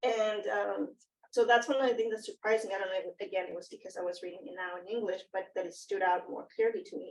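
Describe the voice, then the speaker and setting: Speaking in a Spanish accent, a woman moves at a very fast pace. Her loudness swings a lot. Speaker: academic panelist. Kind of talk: panel discussion. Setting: in-person round table. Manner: halting, many fillers.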